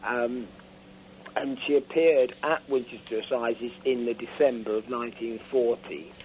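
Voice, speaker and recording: With a southern English accent, a man speaks at a medium pitch and a moderate pace with ordinary pitch variation. There is noticeable background noise. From Isle of Wight, England. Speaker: author. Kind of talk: radio interview answer.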